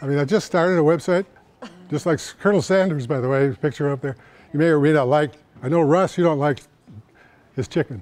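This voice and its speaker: A man talks at a very fast pace with a fairly high pitch. Long, frequent pauses break up his speech. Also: ordinary pitch variation. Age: 80s+. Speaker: speaker at a members' meeting. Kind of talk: presentation to an audience.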